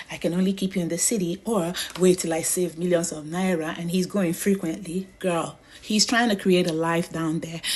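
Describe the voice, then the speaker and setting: A woman with a Nigerian accent and a medium pitch, animated in tone at a moderate pace, over noticeable background noise. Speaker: social media commentator. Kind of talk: casual monologue. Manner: animated, repetitive.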